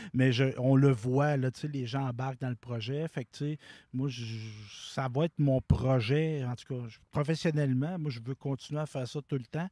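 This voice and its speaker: A man with a Quebec accent speaks at a fairly slow pace with fairly even intonation and a dark, mellow tone, the sound dry with no echo over a quiet background. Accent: Québécois French. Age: 40s. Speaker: community TV director. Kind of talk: interview. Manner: halting. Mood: grateful, warm. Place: open country. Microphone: handheld.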